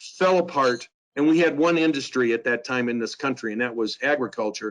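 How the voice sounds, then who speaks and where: In a plain, everyday voice, a man talks at a fairly quick pace and medium pitch with ordinary pitch variation. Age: 60s. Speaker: financial advisor, company founder. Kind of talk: webinar Q&A presentation. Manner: conversational, informal.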